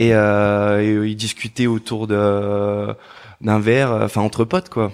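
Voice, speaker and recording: A man's fairly low voice at a very slow pace in a very clean recording with a silent background. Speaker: former footballer turned DJ and producer. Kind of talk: interview. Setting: in person.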